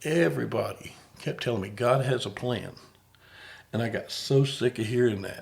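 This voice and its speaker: A man with a Southern US accent, vocal fry, ordinary pitch variation, a moderate pace and long, frequent pauses. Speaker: podcast host and comedian. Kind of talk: casual chat.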